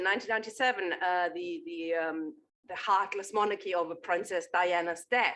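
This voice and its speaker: A woman speaks with a German accent in a medium pitch and a bright, sharp tone. Her intonation is lively and her pace moderate. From Germany. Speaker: political activist and journalist. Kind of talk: panel talk at a political meeting. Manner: animated, with frequent fillers and repetitions.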